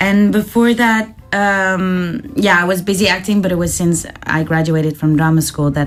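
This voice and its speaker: With music in the background, a woman with a medium pitch talks at a moderate pace with hardly any pauses and ordinary pitch variation. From Netherlands. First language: Dutch. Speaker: actor. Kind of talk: casual chat.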